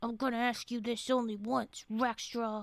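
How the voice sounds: A woman uses a put-on character voice, fairly high in pitch. She keeps a moderate pace and a monotone, flat intonation.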